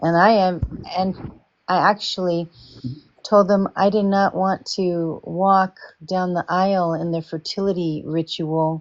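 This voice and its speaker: Speaking at a fairly slow pace with long, frequent pauses, a woman talks at a medium pitch with monotone, flat intonation. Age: 60s. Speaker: former business owner. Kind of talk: casual chat.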